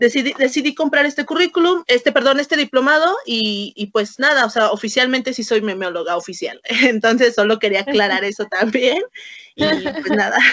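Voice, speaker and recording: High in pitch, a woman speaks with lively intonation. Noticeable background noise comes through behind her. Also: moderate pace. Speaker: anthropologist and meme creator. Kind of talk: casual interview.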